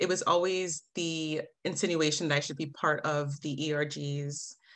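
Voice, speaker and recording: A woman talks with an American accent. She keeps a moderate pace. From New Jersey, US. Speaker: diversity and inclusion manager; podcast guest. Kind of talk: interview answers. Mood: reflective, emotional at times. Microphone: video call.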